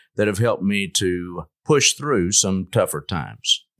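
With a Texan accent, the voice makes very wide pitch swings, in a very clean recording with a silent background and a dry, close sound with no echo. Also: man. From West Texas (Lubbock area). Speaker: orthopedic surgeon. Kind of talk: casual interview.

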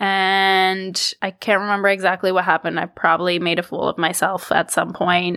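A woman with a Canadian accent speaks at a moderate pace and medium pitch, her tone bright and sharp and her intonation flat and monotone. The recording is very clean with a silent background, dry and close with no echo, her loudness very even and her pauses hardly any. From Canada, Toronto. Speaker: podcast host. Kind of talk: solo casual monologue.

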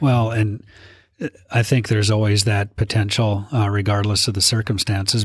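An Upper Midwest accent at a moderate pace, somewhat breathy and monotone with flat intonation, on a very clean recording with a silent background. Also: man. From North Dakota, Minot. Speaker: state legislator. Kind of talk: interview.

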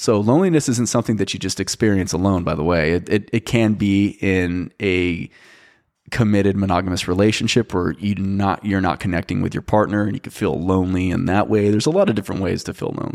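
In a very clean recording with a silent background, a man speaks very fast. His pitch is fairly low. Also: ordinary pitch variation. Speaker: podcast host. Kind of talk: solo podcast monologue. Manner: casual, hesitant with fillers.

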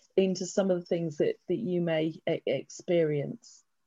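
A woman's dark, mellow voice at a medium pitch, with an English accent. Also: dry, close sound with no echo. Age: 50s. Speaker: estate planning lawyer. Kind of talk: presentation. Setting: video call.

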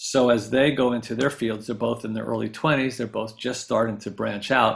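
A speaker with an American accent and vocal fry talks at a fairly quick pace in a monotone, flat intonation. The recording is very clean, with a silent background. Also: man. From upstate New York. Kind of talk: interview.

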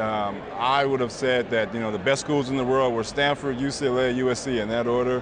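Amid noticeable background noise and audible room echo, a man with an American accent and medium pitch talks at a moderate pace with fairly even intonation and hardly any pauses. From US West Coast, Inglewood, Los Angeles. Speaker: credit union executive. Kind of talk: interview conversation. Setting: conference venue.

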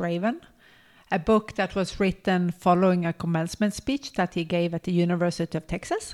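On a very clean recording with a silent background, a woman speaks in a plain, everyday voice at a fairly low pitch, moderate pace, and fairly even intonation. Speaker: podcast co-host and health workshop leader. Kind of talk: casual chat.

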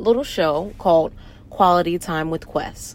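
A woman speaks with an American accent. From US South, Norfolk, Virginia. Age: 20s. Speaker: podcast host, soldier. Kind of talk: casual monologue.

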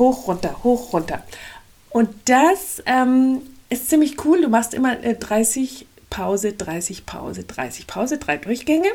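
A woman speaks at a very slow pace. Her high voice swings very widely in pitch. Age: 50s. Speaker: life coach podcaster. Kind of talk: motivational monologue. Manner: energetic.

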